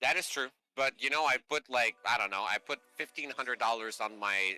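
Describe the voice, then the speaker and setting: Over music in the background, a man with a Canadian accent talks at a fairly quick pace in a dry, close sound with no echo. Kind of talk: casual chat.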